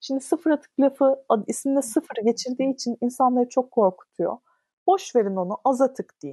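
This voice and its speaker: Her dark, mellow, high-pitched voice moves at a moderate pace with ordinary pitch variation, recorded dry and close with no echo. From Istanbul, Turkey. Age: 30s. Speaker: content creator on minimalism. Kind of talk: casual interview chat.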